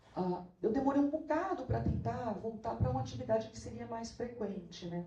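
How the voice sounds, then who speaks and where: A woman's voice with audible room echo. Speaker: law professor and researcher. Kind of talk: academic talk. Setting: auditorium at academic event.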